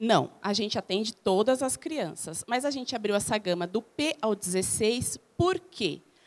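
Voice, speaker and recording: In a very clean recording with a silent background, a woman with a normal speaking voice talks at a fairly slow pace with lively intonation. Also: fairly high pitch for a woman, hardly any pauses. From Brazil, São Paulo area (Guarulhos). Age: 40s. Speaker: small business owner, reality show contestant. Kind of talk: interview.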